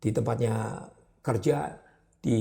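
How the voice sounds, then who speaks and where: A man's somewhat breathy voice, dark and mellow in tone. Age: 70s. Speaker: advertising business owner. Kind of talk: interview. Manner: animated.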